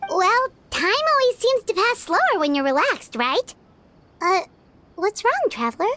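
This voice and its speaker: In a put-on character voice, the speaker sounds extremely high and energetic, with very wide pitch swings and long, frequent pauses. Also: moderate pace. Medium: machinima. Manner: bright, energetic.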